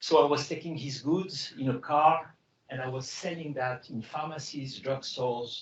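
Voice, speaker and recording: A man with a French accent speaks at a moderate pace in a fairly high, somewhat breathy voice, with fairly even intonation and big swings in loudness. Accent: noticeable French. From Morocco (Casablanca). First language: French and Greek. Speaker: biotech CEO. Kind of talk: fireside chat.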